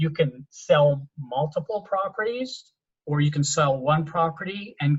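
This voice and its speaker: A man's fairly high, somewhat breathy voice at a fairly slow pace, with a dry, close sound and no echo. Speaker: tax advisor. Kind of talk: presentation. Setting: video call. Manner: halting.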